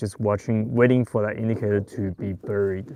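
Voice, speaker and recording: A man with a non-native accent and ordinary pitch variation. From Taiwan and Australia. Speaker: fishing youtuber. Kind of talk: live stream tutorial. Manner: casual, hesitant with fillers.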